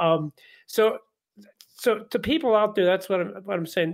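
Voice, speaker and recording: The recording is very clean with a silent background, and a man talks at a moderate pace with ordinary pitch variation. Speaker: pastor. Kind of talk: casual Bible study conversation. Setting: radio studio.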